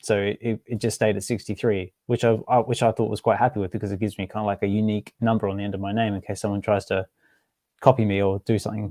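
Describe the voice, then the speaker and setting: In a very clean recording with a silent background and a dry, close sound with no echo, a man with an Australian accent speaks very fast in a fairly low, dark, mellow voice with monotone, flat intonation. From Western Australia, Albany. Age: 30s. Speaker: NFT collector and podcaster. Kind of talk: casual chat. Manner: halting, many repeated words.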